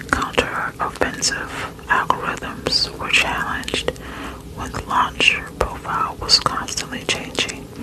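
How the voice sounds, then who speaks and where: A woman whispers at a fairly slow pace, her loudness swinging widely. Noticeable background noise runs throughout. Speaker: ASMR creator. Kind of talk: sleep story reading. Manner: whispered.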